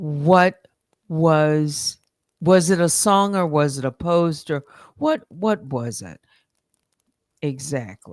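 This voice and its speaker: A woman's very deep, low voice at a very slow pace, with big swings in loudness and long, frequent pauses. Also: lively intonation. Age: 60s. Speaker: live streamer. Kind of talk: casual chat. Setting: live stream. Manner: halting.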